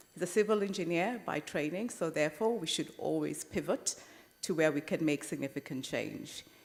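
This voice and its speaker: A woman talks at a moderate pace with vocal fry. Her pitch varies in an ordinary way. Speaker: conference chair. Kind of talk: formal panel introductions. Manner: formal.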